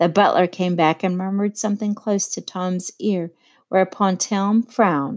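Plain reading aloud fills the clip. The intonation keeps fairly level.

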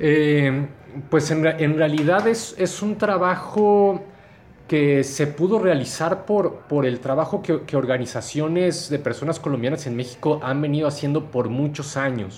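The man talks at a fairly slow pace. His pitch is fairly high, with ordinary variation. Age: 40s. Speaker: podcaster and researcher. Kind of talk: interview. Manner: halting.

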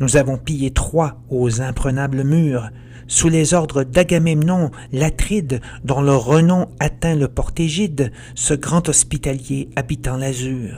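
Over noticeable background noise, a man speaks in a theatrical tone at a very slow pace and fairly high pitch. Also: ordinary pitch variation. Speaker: author and podcast narrator. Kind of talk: dramatic verse narration, retelling the Odyssey as a gripping epic tale; scripted narration with a promo intro and outro. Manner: theatrical, vivid and suspenseful, with rising menace at the Cyclops scenes.

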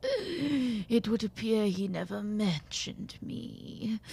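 A woman's raspy put-on character voice at a medium pitch and a very slow pace. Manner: silky, creepy, falsely polite.

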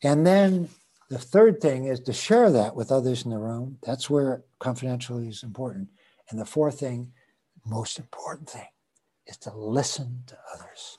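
A somewhat breathy man with an American accent speaks at a moderate pace, his pitch varying in an ordinary way and his loudness swinging widely. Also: medium pitch for a man. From US West Coast (San Francisco). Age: 70s. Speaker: Quaker and volunteer aid worker. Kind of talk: casual interview. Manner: halting, filler-heavy.

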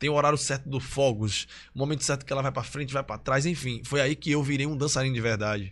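Talking at a fairly quick pace, a man speaks with a Pernambuco accent and a fairly high pitch. The background is quiet. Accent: Pernambuco Brazilian Portuguese. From Recife and Olinda, Pernambuco, Brazil. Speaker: dancer and influencer. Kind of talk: casual interview chat.

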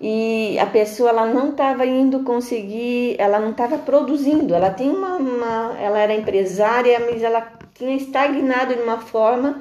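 Noticeable background noise and audible room echo fill this recording. A woman talks in a high pitch with ordinary pitch variation. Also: moderate pace. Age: 50s. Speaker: integrative therapist. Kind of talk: interview.

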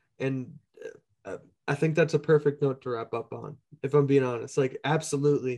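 With an American accent, a man speaks fairly quickly in a dark, mellow tone. His intonation is fairly even. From Minneapolis, US Midwest. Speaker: podcast host and musician. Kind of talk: casual interview. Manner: laughs often.

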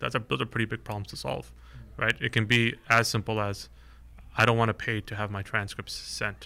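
A man talks at a fairly quick pace with vocal fry. His tone is bright and sharp. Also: very clean recording, silent background. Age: 20s. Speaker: startup founder and CEO. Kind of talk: interview.

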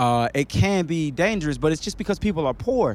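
Lively intonation carries a man's speech in a very clean recording with a silent background. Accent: American. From US South and Chicago (born Queens, New York). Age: 30s. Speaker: music artist manager, former hip hop artist. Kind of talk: casual chat. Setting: outdoors under a bridge.

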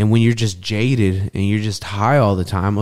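A man with an American accent talks in a normal speaking voice at a fairly quick pace. His pitch is fairly low with ordinary variation, on a very clean recording with a silent background. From Texas. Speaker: former cannabis industry worker. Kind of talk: casual chat.

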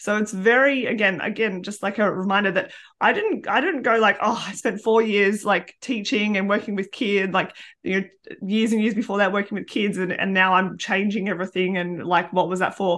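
A woman with an Australian accent speaks at a fairly quick pace with fairly even intonation over a quiet background. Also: medium pitch for a woman. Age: 30s. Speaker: podcast host and primary school teacher. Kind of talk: casual chat. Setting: video call.

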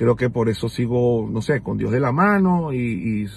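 A man with a Venezuelan accent, medium pitch, somewhat breathy, with lively intonation and a fairly slow pace. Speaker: podcaster. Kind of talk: casual monologue. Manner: halting.

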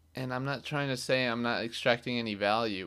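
In a very clean recording with a silent background, a man speaks at a moderate pace and medium pitch, his bright, sharp tone carrying ordinary pitch variation. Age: 20s. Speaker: solo podcaster. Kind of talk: casual monologue. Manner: animated.

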